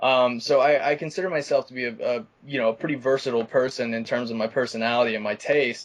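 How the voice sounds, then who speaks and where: Someone with an American accent talks at a very fast pace, with hardly any pauses. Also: man, medium pitch for a man, ordinary pitch variation. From Arkansas, US South. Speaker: film director. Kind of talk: interview. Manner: halting, stuttering.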